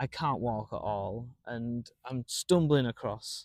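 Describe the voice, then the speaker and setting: A man with a Manchester accent at medium pitch, very slow pace, in a very clean recording against a silent background, with a dry, close sound and no echo. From Manchester, northern England. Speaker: stand-up comedian. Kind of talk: casual chat.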